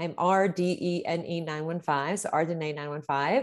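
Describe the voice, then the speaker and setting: A woman with an American accent speaks in a plain, everyday voice, fairly low in pitch. Her intonation is fairly even, and the background is quiet. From Pittsburgh, Pennsylvania. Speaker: teacher and author. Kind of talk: interview.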